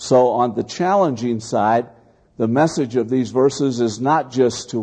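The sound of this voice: Unforced reading voice with pitch that varies in an ordinary way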